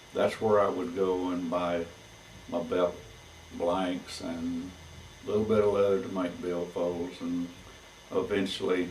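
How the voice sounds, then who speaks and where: Audible room echo carries a man's very deep, low voice. He talks fairly slowly in a flat monotone, with long, frequent pauses. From Texas, Fort Worth area. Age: 70s. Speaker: saddle maker. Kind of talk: oral history recollection. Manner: halting, with many fillers.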